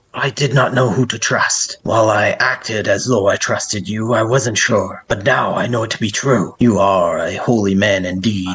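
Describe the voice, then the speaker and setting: A put-on character voice delivers its lines with hardly any pauses. The intonation stays fairly even. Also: man, medium pitch for a man, moderate pace. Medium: actual play. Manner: gentle, earnest, devout.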